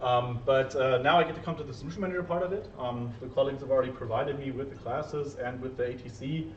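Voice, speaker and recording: Over noticeable background noise and audible room echo, a man of medium pitch talks at a very fast pace with ordinary pitch variation and hardly any pauses. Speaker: SAP solution manager consultant. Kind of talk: conference talk.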